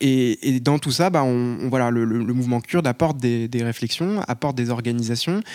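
A man talks in a normal speaking voice at a moderate pace. His pitch varies in an ordinary way, with hardly any pauses. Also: medium pitch for a man. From Paris. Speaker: activist. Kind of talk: public panel debate.

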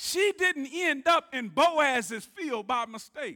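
Projecting a raised voice in a Southern US accent, a man uses lively intonation and a bright, sharp tone, the sound dry and close with no echo. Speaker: preacher. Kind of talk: sermon. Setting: church. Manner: animated; call-and-response.

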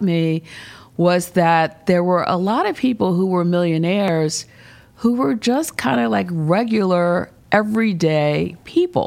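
A woman with an American accent and a normal speaking voice talks with lively intonation at a fairly low pitch. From Baltimore and Philadelphia, US. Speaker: nonprofit executive. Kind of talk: interview. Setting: office turned into studio.

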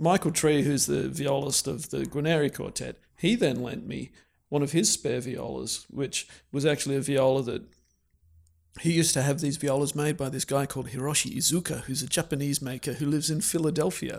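A man with an Australian accent and vocal fry, at a fairly quick pace with ordinary pitch variation, in a very clean recording with a silent background. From Australia (Canberra). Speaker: professional violist. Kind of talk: interview conversation.

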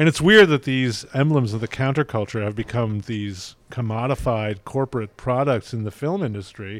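A plain, everyday voice at a moderate pace with ordinary pitch variation and hardly any pauses, captured in a very clean recording with a silent background. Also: man, medium pitch for a man. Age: 60s. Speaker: film critic. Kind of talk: casual film discussion. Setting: at a film festival in Venice.

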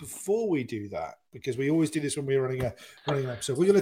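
This man's voice is somewhat breathy. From southwest England. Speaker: podcast host. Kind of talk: casual chat. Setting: online group call.

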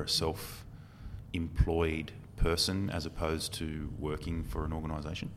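Speaking in an Australian accent, a man's voice sits very deep and low. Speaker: podcast host and recruiter. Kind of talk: casual interview.

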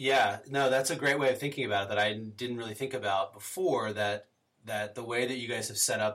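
A man talks at a moderate pace in a plain, everyday voice. His pitch is medium with ordinary pitch variation. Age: 30s. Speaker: podcast host. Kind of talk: casual interview. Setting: call.

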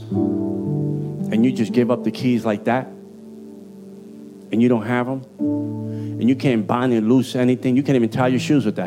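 An energetic man at medium pitch, ordinary pitch variation, with music in the background. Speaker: preacher. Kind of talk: informal street slang mixed with sermon language. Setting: church sermon. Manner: fiery, energetic preaching.

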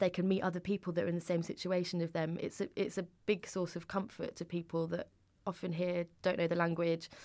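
A woman with a British accent speaks at a fairly low pitch and a fairly quick pace. Her intonation is monotone and flat, and the recording is very clean with a silent background. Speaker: publishing editor. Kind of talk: interview.

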